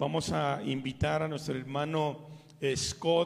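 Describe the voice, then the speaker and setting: Over noticeable background noise, the speech moves at a very slow pace with ordinary pitch variation. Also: man. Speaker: pastor. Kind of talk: sermon. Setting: church. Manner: fervent, pleading, slow, with pauses and repeated 'Señor'.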